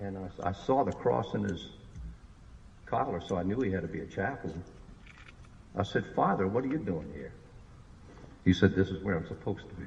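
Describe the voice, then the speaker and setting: Speaking in a New Orleans accent at a fairly quick pace, a man with a very deep, low pitch and vocal fry leaves long, frequent pauses, his loudness swinging widely. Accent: New Orleans Yat. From New Orleans, Louisiana. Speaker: war veteran. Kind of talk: public speech.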